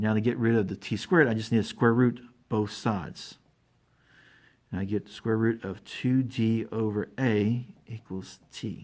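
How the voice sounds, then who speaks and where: Recorded very cleanly against a silent background, a man with a normal speaking voice talks at a moderate pace and medium pitch, his intonation fairly even. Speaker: math and physics teacher. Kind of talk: tutorial.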